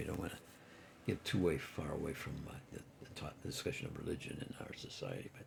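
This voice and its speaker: A man whispering at a very fast pace. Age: 80s+. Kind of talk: casual monologue. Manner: halting, many fillers.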